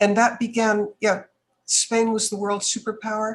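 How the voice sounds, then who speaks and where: In an American accent, a woman speaks fairly slowly at a medium pitch, sounding somewhat breathy. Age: 70s. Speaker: businesswoman and speaker. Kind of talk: podcast interview.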